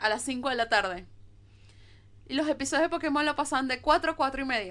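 In a raised, projected voice, a woman with a high pitch speaks at a moderate pace, with ordinary pitch variation and long, frequent pauses, over a quiet background. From Venezuela. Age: 20s. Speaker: podcast co-host. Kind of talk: casual chat.

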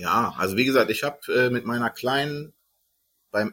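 A man talks at a medium pitch in a bright, sharp tone. The recording is very clean, with a silent background. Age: 30s. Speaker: podcast host. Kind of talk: casual chat.

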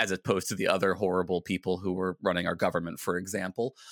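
Very fast and with an American accent, a man speaks at a very deep, low pitch in a bright, sharp tone, in a very clean recording with a silent background. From US Virginia. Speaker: philosophy podcaster and PhD student. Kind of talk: casual interview chat.

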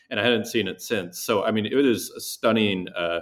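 An unremarkable speaking voice with ordinary pitch variation runs at a fairly quick pace on a very clean recording with a silent background. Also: man. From Saskatchewan, Canada (near Saskatoon). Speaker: digital artist. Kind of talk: interview conversation.

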